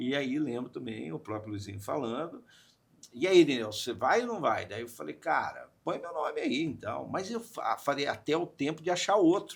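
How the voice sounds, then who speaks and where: A man speaks at a moderate pace with a fairly high pitch and very wide pitch swings. Vocal fry runs through his voice. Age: 60s. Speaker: radio/media communicator. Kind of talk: podcast interview. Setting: studio. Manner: animated storytelling.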